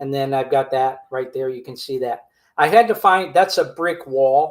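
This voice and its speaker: A man speaks at a moderate pace in a relaxed tone. His pitch varies in an ordinary way. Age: 60s. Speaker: vlogger. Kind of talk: casual monologue.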